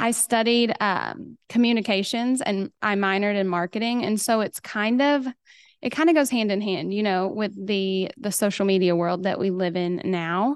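Against a quiet background, a woman at medium pitch speaks at a moderate pace with ordinary pitch variation in a slight Oklahoma accent. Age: 30s. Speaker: hairstylist and educator. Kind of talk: casual interview chat.

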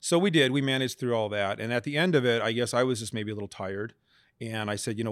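In a very clean recording with a silent background, a man with an American accent talks at a very fast pace with ordinary pitch variation. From Las Vegas, Nevada. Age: 50s. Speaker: business owner and accountant. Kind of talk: interview.

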